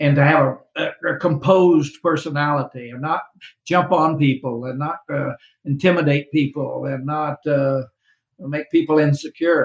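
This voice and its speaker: A man speaks in a somewhat breathy voice, his pitch fairly high and his intonation fairly even. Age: 70s. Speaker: retired business executive and author. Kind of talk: interview.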